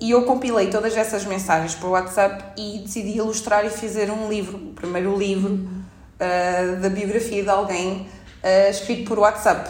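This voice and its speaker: With hardly any pauses, a woman of medium pitch talks at a moderate pace in a monotone, flat intonation. Her loudness swings widely, and audible room echo is present. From France, Paris suburbs, then Portugal. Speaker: illustrator. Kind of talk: casual chat.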